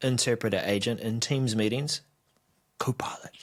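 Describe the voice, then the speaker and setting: Medium-pitched man with a New Zealand accent at a moderate pace, in a very clean recording with a silent background. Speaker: tech show co-host. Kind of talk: casual chat.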